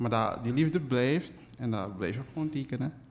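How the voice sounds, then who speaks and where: Speaking in a Surinamese accent, a man keeps a moderate pace. His pitch is medium, with ordinary variation. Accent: Surinamese Dutch. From Suriname, interior. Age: 20s. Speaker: illustrator and cartoonist. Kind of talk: casual interview.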